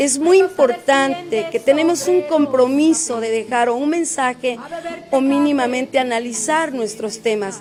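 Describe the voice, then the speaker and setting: A woman with an Oaxacan accent speaks at a fairly slow pace in a high pitch, with ordinary pitch variation and noticeable background noise. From Oaxaca, Mexico (Sierra Juárez). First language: Zapotec (speaking Spanish). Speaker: singer-songwriter. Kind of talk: interview.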